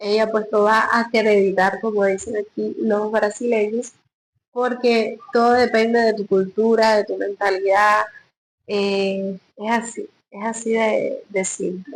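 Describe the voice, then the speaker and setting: A woman at a very slow pace, fairly high in pitch, with monotone, flat intonation. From Cuba. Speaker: hairdresser and vlogger. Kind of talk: casual vlog talk. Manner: casual with frequent fillers.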